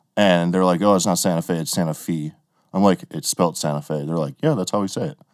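A man with an American accent talks very fast. His pitch is very deep and low, with ordinary variation. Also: very clean recording, silent background. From Wisconsin. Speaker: podcast host, drummer. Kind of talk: casual chat.

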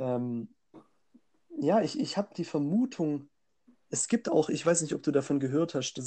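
Dark, mellow tone, close and dry, with no echo. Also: man. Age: 20s. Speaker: podcast co-host. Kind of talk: casual chat.

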